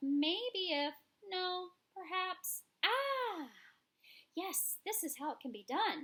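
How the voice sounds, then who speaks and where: Using a put-on character voice, a woman speaks squeaky and extremely high at a very slow pace, with very wide pitch swings and long, frequent pauses. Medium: read story. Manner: unhurried, ponderous.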